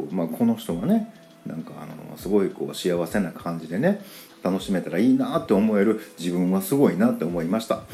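Speaking in a Kansai accent with a relaxed tone, the voice moves at a fairly quick pace. Loudness swings widely, and there is noticeable background noise. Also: man. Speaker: podcaster. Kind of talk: casual monologue. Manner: relaxed, filler-heavy.

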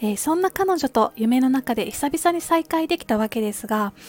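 With music in the background, a woman with a high pitch and very wide pitch swings talks at a moderate pace in a dry, close sound with no echo. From Kansai, Japan. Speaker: podcaster. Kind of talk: casual monologue. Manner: polite, gentle.

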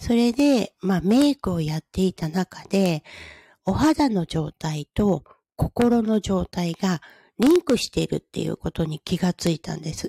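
Speaking at a fairly slow pace, a woman with a medium-pitched, somewhat breathy voice and a dark, mellow tone sounds dry and close with no echo on a very clean recording against a silent background. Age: 50s. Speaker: podcaster and hair-makeup artist. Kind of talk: casual solo talk.

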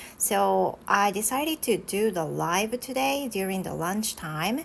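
A woman speaks with a Japanese accent at a medium pitch. Her pace is very slow. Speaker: English teacher. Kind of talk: casual chat. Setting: live stream.

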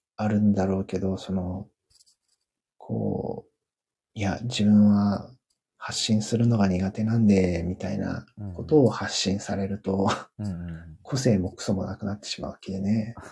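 At a fairly slow pace, a man with an ordinary speaking voice talks in a fairly low pitch with fairly even intonation. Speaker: company employee, technical college graduate. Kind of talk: casual conversation. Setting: joined livestream as speaker.

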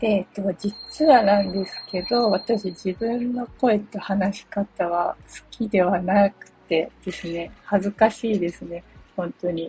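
At a very slow pace, a woman of medium pitch speaks with ordinary pitch variation and big swings in loudness over noticeable background noise. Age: 40s. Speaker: blogger and podcaster. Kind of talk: solo self-introduction monologue. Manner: casual, filler-heavy.

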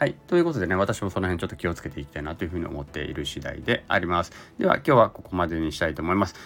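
Very fast speech with ordinary pitch variation and big swings in loudness sits over noticeable background noise. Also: man, very deep, low pitch for a man. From Japan (Zainichi Korean). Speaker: labor and social security consultant. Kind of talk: solo podcast monologue.

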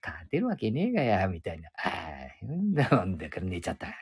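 A man's voice with very wide pitch swings. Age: 70s. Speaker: podcaster. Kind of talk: casual monologue. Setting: outdoors. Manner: rambling, halting with fillers.

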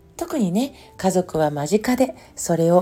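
A woman's lively intonation at a fairly slow pace, with music in the background. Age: 50s. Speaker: podcast host, former nurse and homeopath. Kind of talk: solo monologue podcast. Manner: relaxed, reflective.

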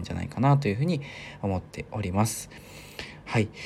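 Music sounds in the background beneath lively intonation. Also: man. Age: 20s. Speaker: podcast host. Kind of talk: solo monologue podcast. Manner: many fillers; polite formal.

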